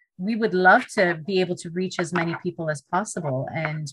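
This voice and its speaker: The speaker is a woman with a Canadian accent. Her pitch varies in an ordinary way. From Canada, Toronto. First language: Punjabi. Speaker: middle school teacher, podcast host. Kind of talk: podcast interview.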